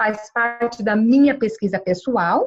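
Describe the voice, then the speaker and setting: A woman's fairly slow speech with ordinary pitch variation. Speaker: lecturer. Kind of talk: lecture. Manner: halting, with many fillers.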